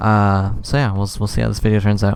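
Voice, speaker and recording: Soft-spoken and at a fairly quick pace, a man with a fairly low voice talks over background music. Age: 20s. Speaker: Minecraft YouTuber. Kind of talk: casual Q&A chat. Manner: quiet, soft-spoken; trying to be louder than usual.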